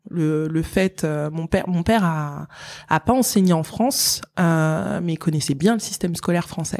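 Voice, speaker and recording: A woman with a fairly low pitch speaks at a fairly slow pace with ordinary pitch variation, in a dry, close sound with no echo. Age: 30s. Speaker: engineer and tech entrepreneur. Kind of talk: interview. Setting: in person at her company's office. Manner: halting, many fillers and repetitions.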